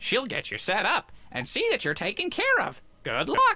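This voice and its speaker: The voice is put on as a character, pitched extremely high. Its speed is moderate. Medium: game stream. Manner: formal, fussy.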